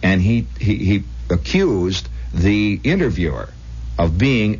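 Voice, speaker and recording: A man's very deep, low voice with vocal fry and very wide pitch swings. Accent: American. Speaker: radio host. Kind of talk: late-night radio monologue. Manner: conversational, storytelling.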